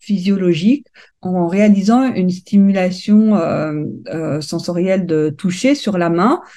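This woman talks at a fairly slow pace with a dark, mellow tone. Her pitch is medium and its variation is ordinary. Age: young. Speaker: neuroscience researcher. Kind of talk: interview. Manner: halting.

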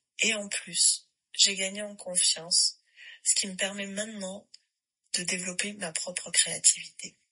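The pace is fairly slow, broken by long, frequent pauses. Intonation stays monotone and flat while loudness swings widely. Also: woman, medium pitch for a woman. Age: 40s. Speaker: yoga teacher. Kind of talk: recorded voice message testimony.

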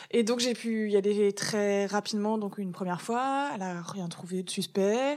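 This woman has a normal speaking voice at a medium pitch. Her pitch varies in an ordinary way. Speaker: comic book author and cancer survivor. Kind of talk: interview testimony.

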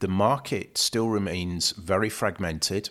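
A man's very deep, low voice with a British accent. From UK. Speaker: supply chain consultant. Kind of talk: interview.

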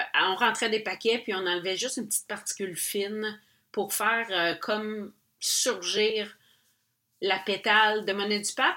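A woman's bright, sharp voice at medium pitch and a fairly slow pace, in a very clean recording with a silent background. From Quebec. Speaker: podcast host and painter. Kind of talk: personal storytelling monologue. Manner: casual, many hesitations.

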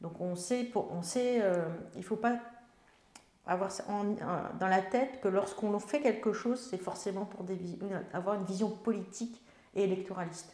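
At medium pitch, a woman speaks at a moderate pace with fairly even intonation and long, frequent pauses. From France, Melun (Seine-et-Marne). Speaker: member of parliament. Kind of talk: interview. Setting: on location in her town.

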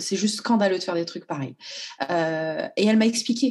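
An ordinary speaking voice from a woman at medium pitch, with ordinary pitch variation and a moderate pace. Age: 30s. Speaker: school nurse. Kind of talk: testimony.

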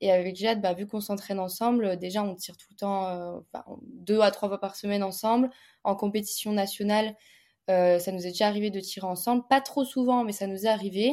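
This woman has a dark, mellow tone at a medium pitch. Her intonation is fairly even. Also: fairly quick pace, big swings in loudness, very clean recording, silent background. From eastern France, Montbéliard area. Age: 20s. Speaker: fencer and entrepreneur. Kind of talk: casual interview.

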